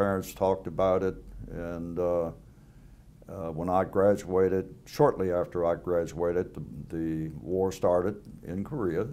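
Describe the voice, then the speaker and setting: Delivered at a moderate pace, the voice has a dark, mellow tone. Its pitch variation is ordinary. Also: man. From US South. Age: 80s. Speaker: war veteran. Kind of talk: oral history interview. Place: home room. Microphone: lapel.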